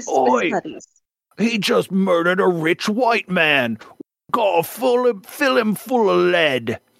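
Putting on a character voice with a Cockney accent, a man speaks at a very slow pace with a high pitch and very wide pitch swings. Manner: aggressive.

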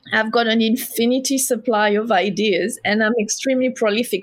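A woman with a French accent, a fairly high pitch and a moderate pace. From southern France. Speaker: homewares brand founder. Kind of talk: casual interview. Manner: talkative.

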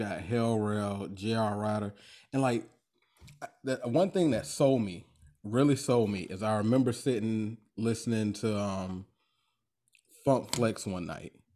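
This voice has a north Florida accent and a dark, mellow tone. It comes with long, frequent pauses. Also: man. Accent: US Southern (north Florida). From Florida, Duval County (Jacksonville). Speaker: podcast host, guest. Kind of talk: casual chat.

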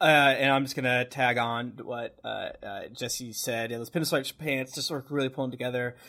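The man talks in an American accent, keeping a moderate tempo. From Massachusetts, US. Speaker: podcast co-host. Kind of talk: casual chat. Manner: animated.

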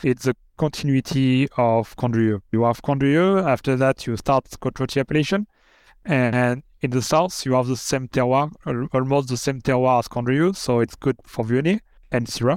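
A man with a French accent, medium in pitch, at a moderate pace with ordinary pitch variation and very even loudness, in a very clean recording with a silent background and a dry, close sound with no echo. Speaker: winemaker. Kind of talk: interview. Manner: halting.

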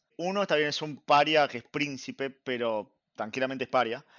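Here is a plain, everyday voice from a man. He talks at a fairly quick pace with a fairly high pitch. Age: 30s. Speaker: anime podcast guest. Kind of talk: casual chat.

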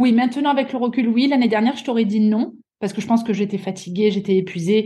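A woman's fairly high, somewhat breathy voice with a dark, mellow tone, ordinary pitch variation and a fairly quick pace. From southeastern France, Avignon. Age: 30s. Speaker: athlete and sports coach. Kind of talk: interview.

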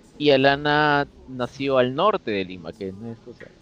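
A man speaks with lively intonation. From Peru, Chiclayo (northern coast). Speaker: game event organizer. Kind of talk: casual interview chat. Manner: halting, many fillers and repetitions.

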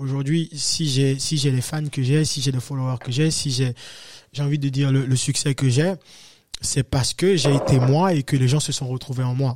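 The voice is somewhat breathy, with fairly even intonation at a moderate pace. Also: man, fairly high pitch for a man. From Benin, West Africa. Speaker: afro-pop singer. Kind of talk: interview.

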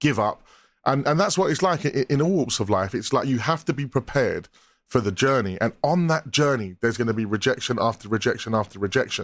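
A man with an ordinary speaking voice and a medium pitch talks at a fairly quick pace with lively intonation and very even loudness, on a very clean recording with a silent background. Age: 30s. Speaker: musician. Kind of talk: casual chat.

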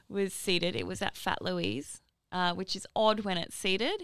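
A woman of medium pitch with an Australian accent at a moderate pace, on a very clean recording with a silent background. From New South Wales, Northern Rivers. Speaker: musician. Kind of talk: casual chat.

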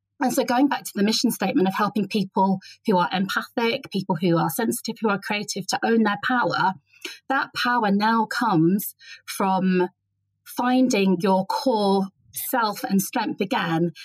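A woman talks at a moderate pace with a medium, somewhat breathy voice and ordinary pitch variation. The sound is dry and close, without echo. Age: 40s. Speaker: writer and writing teacher. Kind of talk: interview conversation.

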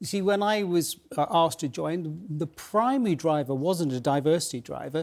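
A man with an unremarkable speaking voice talks at a moderate pace in a fairly high pitch, with lively intonation and hardly any pauses. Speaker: retired military officer. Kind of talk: TV panel interview. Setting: studio.

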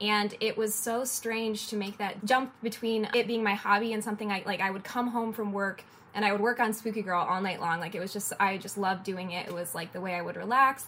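A woman of medium pitch speaks at a fairly quick pace with hardly any pauses. Her intonation is fairly even, and there is noticeable background noise. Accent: American. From Detroit, US. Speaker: illustrator. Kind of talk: interview.

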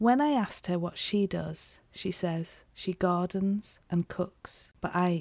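The tone is dark and mellow. The sound is dry and close with no echo, in a very clean recording with a silent background. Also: woman. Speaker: podcast host. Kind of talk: interview conversation.

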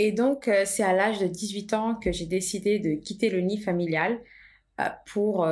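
An unremarkable speaking voice from a woman, medium in pitch, at a fairly slow pace with fairly even intonation. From Portugal (Lisbon), moved to France at 13. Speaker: entrepreneur, tea brand co-founder. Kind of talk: casual conversation, personal story.

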